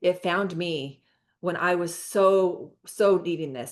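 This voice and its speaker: Against a quiet background, a woman speaks with a fairly low voice. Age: 50s. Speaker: network marketing host. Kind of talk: video call presentation. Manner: animated.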